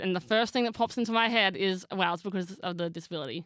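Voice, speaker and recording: A woman's bright, sharp voice in an Australian accent, very fast, at medium pitch with ordinary pitch variation. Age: 20s. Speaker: actress and makeup artist. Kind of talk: casual chat.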